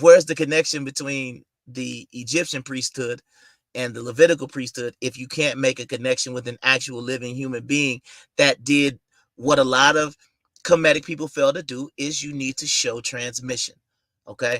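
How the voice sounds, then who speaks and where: A man with a plain, everyday voice and an American accent speaks at a moderate pace and medium pitch, his intonation fairly even but his loudness swinging widely, the sound dry and close with no echo on a very clean recording with a silent background. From United States. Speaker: YouTube commentator. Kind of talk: livestream monologue. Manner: casual.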